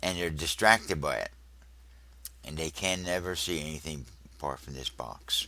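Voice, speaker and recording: A man with a very deep, low pitch, vocal fry and a bright, sharp tone speaks at a moderate pace with long, frequent pauses. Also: ordinary pitch variation. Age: 70s. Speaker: religious video teacher. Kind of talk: religious teaching monologue.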